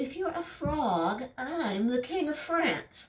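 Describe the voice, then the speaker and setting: In a high-pitched, put-on character voice, a woman draws her words out very slowly. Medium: read story. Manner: sweet, sinister.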